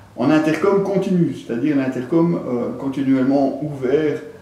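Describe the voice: A man talks at a moderate pace in a medium pitch with ordinary pitch variation and a dark, mellow tone. The recording has strong room echo.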